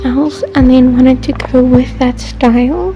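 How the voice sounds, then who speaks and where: Noticeable background noise accompanies a woman as she talks at a fairly slow pace. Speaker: Sims 4 speed build creator. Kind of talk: casual gameplay voiceover.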